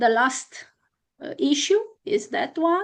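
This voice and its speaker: Someone speaks with a Romanian accent at a fairly slow pace. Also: woman, quiet background. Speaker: constitutional law scholar. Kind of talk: academic conference talk. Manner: halting with many fillers.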